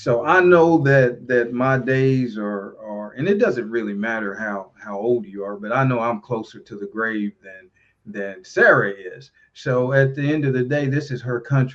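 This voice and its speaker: In a Tennessee accent, a man speaks fairly slowly at a medium pitch, with ordinary pitch variation and big swings in loudness. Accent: Southern US (Tennessee). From Tennessee, near Nashville. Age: 60s. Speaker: local politician and pastor. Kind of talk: casual chat. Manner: halting.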